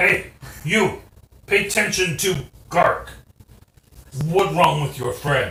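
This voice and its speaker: A man puts on a character voice pitched high, speaking at a fairly slow pace. He leaves long, frequent pauses, and there is a slight echo. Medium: actual play. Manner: broken simple speech.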